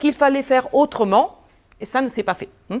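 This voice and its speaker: A woman with an Italian accent speaks in a high voice. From Italy. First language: Italian (speaking French). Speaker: business school professor. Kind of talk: lecture.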